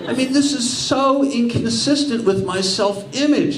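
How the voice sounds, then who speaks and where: Lively intonation from a man with an American accent at a fairly slow pace, with audible room echo and noticeable background noise. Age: 60s. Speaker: stand-up comedian. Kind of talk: stand-up. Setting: stage with audience.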